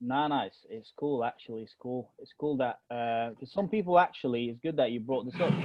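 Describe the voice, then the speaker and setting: With an American accent, a man at medium pitch talks with lively intonation and hardly any pauses. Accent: strong British with a slight American twinge. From Egypt, Alexandria. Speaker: podcast co-host. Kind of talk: casual chat. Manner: halting, many fillers.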